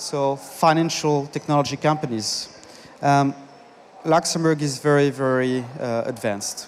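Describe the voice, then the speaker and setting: Noticeable background noise sits behind a man speaking at a fairly slow pace. His pitch is fairly high. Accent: French. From France. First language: French. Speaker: conference speaker, business consultant. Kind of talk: conference talk. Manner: halting.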